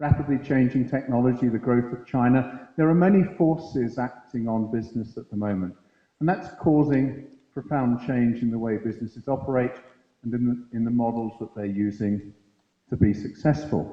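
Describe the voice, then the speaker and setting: In an unremarkable speaking voice, a man talks at a medium pitch and a moderate pace with ordinary pitch variation. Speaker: conference speaker at a university. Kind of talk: lecture.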